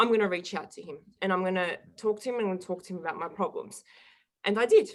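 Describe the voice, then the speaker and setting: A woman's medium-pitched voice with an Australian accent, very fast, fairly even in intonation, with big swings in loudness. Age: 20s. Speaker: guest sharing personal recovery story. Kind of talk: interview testimony.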